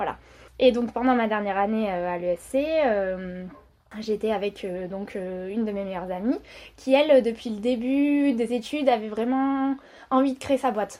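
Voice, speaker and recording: A woman talks at a fairly slow pace in a fairly high pitch, her tone dark and mellow. Her pitch varies in an ordinary way, and the background is quiet. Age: 30s. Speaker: entrepreneur. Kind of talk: interview. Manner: hesitant.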